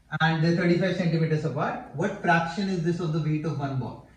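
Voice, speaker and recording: In a space with audible room echo and noticeable background noise, a man talks at a high pitch. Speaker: physics teacher. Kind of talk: tutorial.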